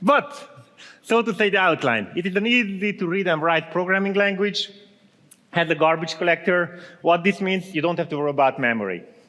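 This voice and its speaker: Against noticeable background noise, a man talks at a fairly quick pace in a high voice. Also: ordinary pitch variation. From Transylvania, Romania. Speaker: software engineer, conference speaker. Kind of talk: conference talk.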